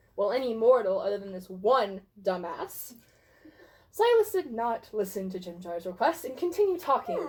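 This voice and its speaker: A woman at a fairly high pitch and moderate pace, with very wide pitch swings, big swings in loudness, and noticeable background noise. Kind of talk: dramatic reading of a fantasy story.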